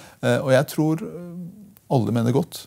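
Over a quiet background, a man is speaking. His pitch varies in an ordinary way. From Norway, Porsgrunn (Telemark), from Iran at 8; Norway. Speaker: politician, member of parliament; podcast guest, politician. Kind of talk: interview. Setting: studio. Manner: halting, repeats words. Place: studio. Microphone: lapel.

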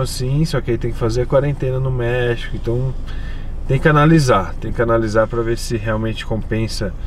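Lively intonation at a moderate pace comes through in a dry sound with no echo and light background noise. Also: man. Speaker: vlogger. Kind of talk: casual vlog chat. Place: car. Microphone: camera far.

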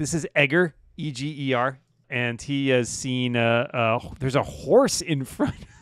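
Over a quiet background, a man speaks with ordinary pitch variation and big swings in loudness. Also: moderate pace, dry sound with no echo. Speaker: co-dungeon master. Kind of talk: tabletop role-playing game narration and banter. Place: home room. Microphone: video call.

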